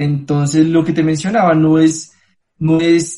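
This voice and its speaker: Monotone and flat, a man speaks at a fairly high pitch. His pace is moderate. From Colombia. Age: 20s. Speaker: travel company founder. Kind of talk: interview.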